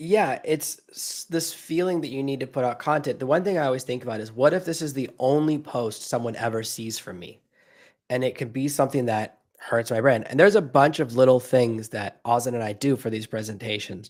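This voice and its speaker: Recorded very cleanly against a silent background, a man talks at a fairly quick pace with ordinary pitch variation and big swings in loudness. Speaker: AI and branding presenter, podcaster. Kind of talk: live stream chat. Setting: live stream, standing up.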